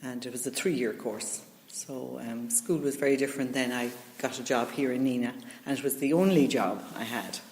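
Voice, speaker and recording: A woman with an Irish accent speaks at a moderate pace with ordinary pitch variation. Audible room echo and noticeable background noise are present. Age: 60s. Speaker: retired teacher. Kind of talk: interview. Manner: hesitant, many fillers.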